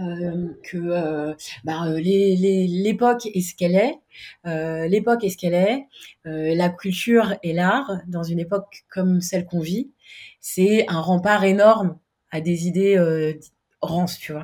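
At a very slow pace, a woman speaks in a fairly low, dark and mellow tone with ordinary pitch variation. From Paris, France. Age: 30s. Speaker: freelance web designer and startup founder. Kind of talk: interview.

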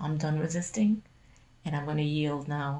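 Very deep and low in pitch, a woman talks at a fairly quick pace. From Caribbean. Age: 50s. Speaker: former program resident. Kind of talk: casual interview. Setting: at her home.

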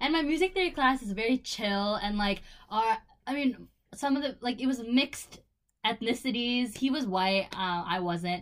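A woman speaks with an American accent in an unremarkable speaking voice, fairly high in pitch. She keeps a moderate pace with lively intonation. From Buffalo, New York. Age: 20s. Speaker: podcast co-host, college student. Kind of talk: casual chat.

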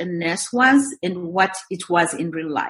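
Noticeable background noise accompanies a woman whose pitch swings very wide. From Zimbabwe. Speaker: real estate investor and mentor. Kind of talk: interview, conversational.

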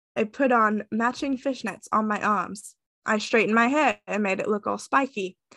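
An unforced reading voice with ordinary pitch variation is heard over a quiet background.

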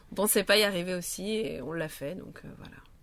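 Fairly low in pitch, a woman talks at a fairly quick pace with ordinary pitch variation. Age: 30s. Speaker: hairdresser and rally participant. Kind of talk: casual interview. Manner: halting.

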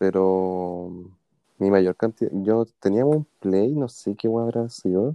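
Speaking at a fairly slow pace in a Chilean accent, a man uses a very deep, low pitch. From Chile, Puente Alto (Santiago). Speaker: podcast co-host. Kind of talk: casual chat.

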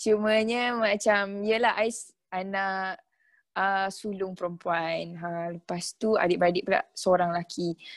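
Over a quiet background, a woman with an unremarkable speaking voice talks at medium pitch with fairly even intonation. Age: 20s. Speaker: takaful consultant. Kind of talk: casual interview chat.

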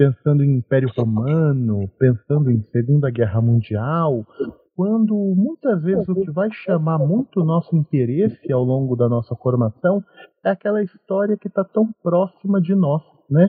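A man's fairly high voice with very wide pitch swings, at a moderate pace. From São Paulo interior, Brazil. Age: 20s. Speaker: podcast host, history graduate. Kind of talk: casual discussion.

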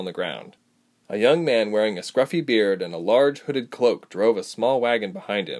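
Reading aloud in a natural voice with lively intonation, over a quiet background

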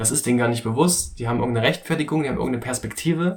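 This man has a medium pitch and ordinary pitch variation. Vocal fry runs through his speech. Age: 20s. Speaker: podcast host, meditation enthusiast. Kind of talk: casual monologue. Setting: small home recording booth. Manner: relaxed.

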